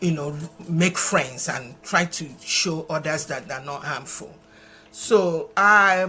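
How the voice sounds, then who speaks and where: A woman speaks very slowly in a Nigerian accent, her pitch fairly low and her pitch variation ordinary. Her tone is bright and sharp, with big swings in loudness. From Nigeria, eastern (Imo State). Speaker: charity founder. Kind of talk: interview. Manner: hesitant, with repetitions.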